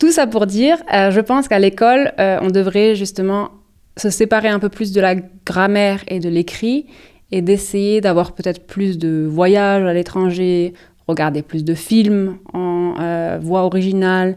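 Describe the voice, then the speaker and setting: A woman's medium-pitched voice at a fairly slow pace, ordinary pitch variation, and a very clean recording over a silent background. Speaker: podcast co-host. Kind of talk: casual chat. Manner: hesitant, many fillers.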